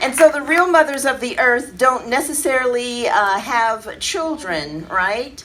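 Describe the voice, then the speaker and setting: With pitch that swings very widely, a woman talks fairly slowly while noticeable noise sits behind her. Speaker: spoken word poet. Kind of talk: casual talk to live audience.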